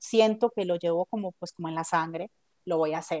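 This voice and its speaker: Very fast, a woman speaks in a dark, mellow tone with ordinary pitch variation, the sound dry and close with no echo. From Colombia, Medellín. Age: 40s. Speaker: book editor. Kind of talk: interview.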